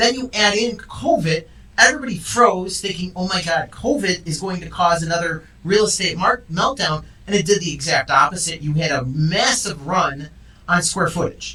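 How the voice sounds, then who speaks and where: A loud, animated man with a high pitch and ordinary pitch variation, at a moderate pace over noticeable background noise. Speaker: real estate agent and show host. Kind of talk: casual chat.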